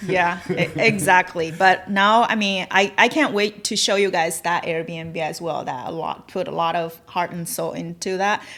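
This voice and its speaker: In a Chinese accent, a woman speaks at a moderate pace with hardly any pauses. Her voice is fairly low, with ordinary pitch variation. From China. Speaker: realtor and real estate investor. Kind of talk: podcast interview. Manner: halting.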